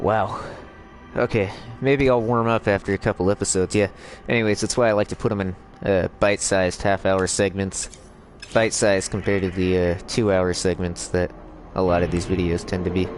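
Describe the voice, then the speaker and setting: Over noticeable background noise, a man with a very deep, low pitch talks at a fairly quick pace with fairly even intonation and long, frequent pauses. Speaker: gaming YouTuber. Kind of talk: gameplay commentary. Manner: halting, many fillers.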